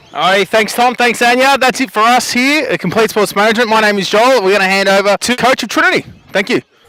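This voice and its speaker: A man talks at a very fast pace with hardly any pauses, his voice raised and projected, high in pitch, with ordinary pitch variation. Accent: Australian. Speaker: sports interviewer. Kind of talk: post-match interview.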